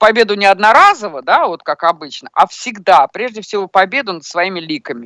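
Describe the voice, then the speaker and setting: Medium-pitched woman's voice with a bright, sharp tone and lively intonation, a moderate pace, and a dry, close sound with no echo. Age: old. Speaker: amateur poker streamer. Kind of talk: casual chat.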